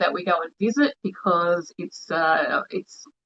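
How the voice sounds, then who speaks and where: A woman speaks with an Australian accent. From New Zealand (Wairoa, Hawke's Bay), moved to Australia at ten. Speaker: spiritual healer. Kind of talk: online livestream talk.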